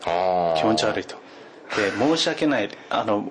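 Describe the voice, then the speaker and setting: Speaking slowly-ish at a fairly slow pace with lively intonation, the voice carries an English accent over noticeable background noise. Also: man. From US West Coast. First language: English (speaking Japanese). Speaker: podcast guest. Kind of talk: casual chat.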